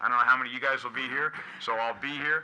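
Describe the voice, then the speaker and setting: A man with an American accent talks at a very fast pace. Noticeable background noise runs behind him. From New England. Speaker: army general, chief of engineers. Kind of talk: speech at public meeting. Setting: public meeting room with audience. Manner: animated.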